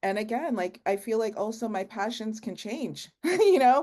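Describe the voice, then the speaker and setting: A woman with an unremarkable speaking voice, medium pitch and lively intonation at a fairly slow pace, in a quiet background. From Canada. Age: 40s. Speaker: entrepreneur. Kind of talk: podcast interview.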